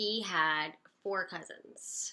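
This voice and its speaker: A fairly low-pitched woman's voice with an American accent. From Connecticut, US. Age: 30s. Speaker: person living with cystic fibrosis. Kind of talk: personal testimony. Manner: casual, filler-heavy.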